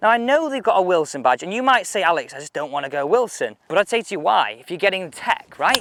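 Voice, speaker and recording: A man with a British accent talks at a very fast pace and a high pitch. His pitch swings very widely and his loudness swings a lot. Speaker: golf equipment reviewer. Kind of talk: casual video review.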